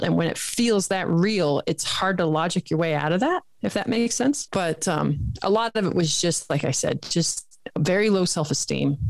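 A woman speaks at medium pitch and a moderate pace, with ordinary pitch variation. She has a normal speaking voice. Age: 40s. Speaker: health coach. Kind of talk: interview podcast chat.

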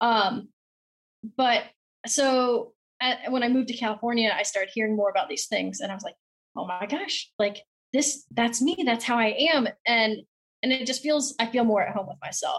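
A woman with an American accent speaks at a moderate pace in a fairly high pitch, with ordinary pitch variation. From South Carolina. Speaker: model horse hobbyist. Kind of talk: casual interview. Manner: talkative.

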